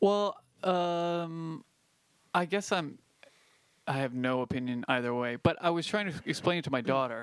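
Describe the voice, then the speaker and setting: An ordinary speaking voice from a man, at a fairly slow pace with ordinary pitch variation, on a very clean recording with a silent background. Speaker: podcast host. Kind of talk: casual banter.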